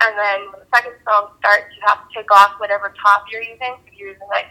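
At a moderate pace, a woman talks in a normal speaking voice with a fairly high pitch. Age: 20s. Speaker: exotic dancer. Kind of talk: casual interview.

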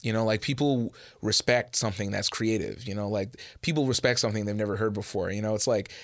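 A man with a Canadian accent speaks in a plain, everyday voice at a medium pitch and fairly quick pace. His pitch variation is ordinary, on a very clean recording with a silent background. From Edmonton, western Canada. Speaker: rapper. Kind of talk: interview.

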